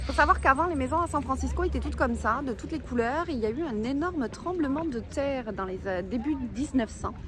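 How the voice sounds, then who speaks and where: Amid noticeable background noise, a woman speaks at a fairly quick pace with hardly any pauses. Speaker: travel vlogger. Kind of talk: casual travel vlog narration.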